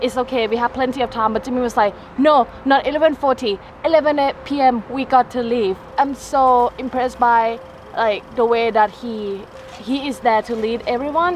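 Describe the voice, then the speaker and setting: Against noticeable background noise, a woman with a Thai accent speaks at a moderate pace in a high pitch. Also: ordinary pitch variation. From Thailand. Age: 20s. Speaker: travel vlogger. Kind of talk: casual chat. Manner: halting.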